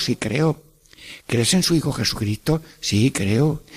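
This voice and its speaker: Somewhat breathy, a man's voice moves at a very slow pace. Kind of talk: radio catechesis talk. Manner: warm, animated.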